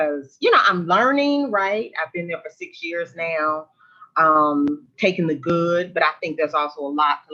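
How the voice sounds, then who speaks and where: Speaking fairly slowly, a woman has a Southern US accent. Her tone is bright and sharp, with fairly even intonation. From US South, Memphis, Tennessee. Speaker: military veteran and government policy official. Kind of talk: virtual panel discussion. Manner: conversational with many fillers.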